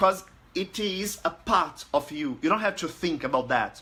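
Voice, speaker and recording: A man with a high pitch and lively intonation, in a Portuguese accent. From Brazil. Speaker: language learning group administrator. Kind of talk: casual talk to camera. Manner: halting, many fillers.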